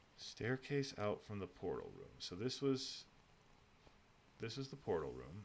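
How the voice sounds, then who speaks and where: Big swings in loudness mark a man's fairly slow speech, broken by long, frequent pauses. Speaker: gaming streamer. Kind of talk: casual gameplay livestream commentary.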